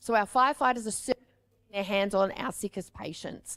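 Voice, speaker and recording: A woman speaks with an Australian accent at a fairly high pitch, with ordinary pitch variation. The sound is dry and close, with no echo. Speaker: paramedic and firefighter medical trainer. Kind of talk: conference presentation.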